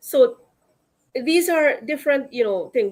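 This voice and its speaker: A woman with a Guyanese accent at a moderate pace, with lively intonation. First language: Akawaio. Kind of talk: panel discussion.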